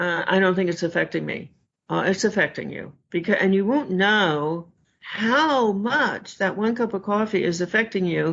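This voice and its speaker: Using a normal speaking voice, a woman talks at a moderate pace. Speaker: food addiction expert. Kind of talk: interview.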